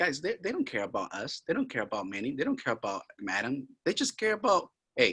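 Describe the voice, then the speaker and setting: A man's fairly quick, vocal-fry-laced speech with very wide pitch swings. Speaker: real estate investor. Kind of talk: webinar sales training. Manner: animated.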